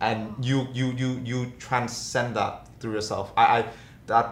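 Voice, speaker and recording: Somewhat breathy and fairly slow, a man talks with audible room echo. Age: 20s. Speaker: podcast co-host. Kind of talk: casual chat.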